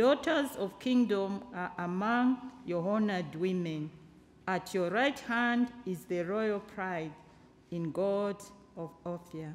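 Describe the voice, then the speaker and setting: Lively intonation at a very slow pace. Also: woman. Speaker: scripture reader. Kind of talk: scripture reading. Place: church.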